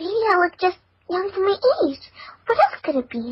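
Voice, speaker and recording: An extremely high, squeaky put-on character voice from a woman. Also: moderate pace. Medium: read story.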